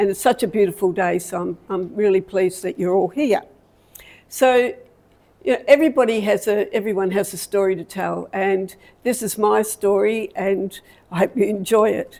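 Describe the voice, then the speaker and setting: A woman with an Australian accent, medium pitch and a dark, mellow tone, at a moderate pace with ordinary pitch variation. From Australia, Victoria (Melbourne area). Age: 70s. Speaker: community talk speaker. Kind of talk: personal life story talk. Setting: talk to a live audience with slides. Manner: halting.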